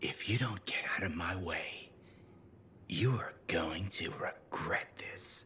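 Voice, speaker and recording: A man whispering in a put-on character voice. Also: fairly slow pace. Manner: menacing.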